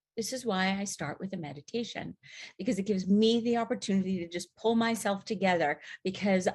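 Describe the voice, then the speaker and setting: A woman's somewhat breathy voice. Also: quiet background. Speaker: therapist and podcast host. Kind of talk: casual podcast talk; guided meditation. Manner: calm, slow.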